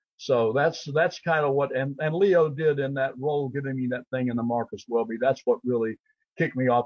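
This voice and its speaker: A man speaks in an ordinary speaking voice. His pace is moderate and his pitch medium. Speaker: actor and author. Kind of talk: interview.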